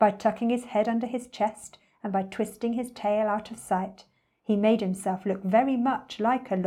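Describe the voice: A quiet background behind plain reading aloud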